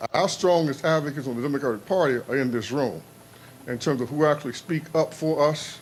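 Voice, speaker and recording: Talking at a fairly quick pace, a man with an American accent uses a fairly high pitch. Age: 60s. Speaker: pastor and policy advocate. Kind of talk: public speech. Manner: impassioned.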